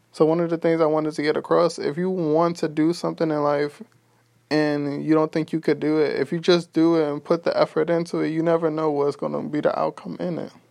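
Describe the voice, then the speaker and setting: Fairly high-pitched man with a New York accent, monotone, flat intonation and a fairly quick pace. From Brooklyn, New York. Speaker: podcaster. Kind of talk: motivational monologue.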